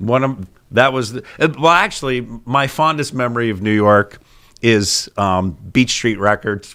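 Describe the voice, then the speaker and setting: A man speaks at a fairly slow pace with a strong Pittsburgh accent and a bright, sharp tone. His pitch varies in an ordinary way, and the recording is very clean with a silent background. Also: medium pitch for a man. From Pittsburgh, US. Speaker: podcast co-host, TV show host. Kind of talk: casual chat. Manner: animated.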